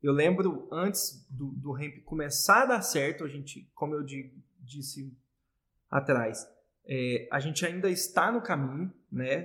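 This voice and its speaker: Using a normal speaking voice, a man at a fairly high pitch talks at a fairly slow pace, with ordinary pitch variation and big swings in loudness. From Brazil, Goiás. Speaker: entrepreneur, business partner. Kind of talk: casual interview.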